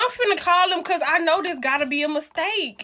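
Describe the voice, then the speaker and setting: Amid noticeable background noise, a woman with an extremely high pitch projects her raised voice at a fairly quick pace. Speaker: social media creator. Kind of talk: rant video. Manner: stuttering.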